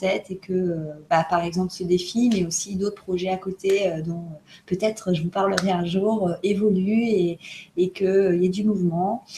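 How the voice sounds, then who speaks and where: Over noticeable background noise, a woman talks at a moderate pace and a medium pitch with ordinary pitch variation. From France. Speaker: co-host of self-development video challenge. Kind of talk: casual chat. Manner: halting, many hesitations.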